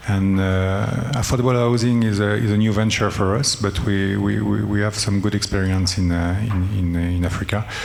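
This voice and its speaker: A man with a French accent speaks in a fairly low voice with hardly any pauses, fairly even intonation and very even loudness. There is audible room echo and noticeable background noise. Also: moderate pace. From France. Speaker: development bank director. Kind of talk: panel discussion. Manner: halting, many fillers.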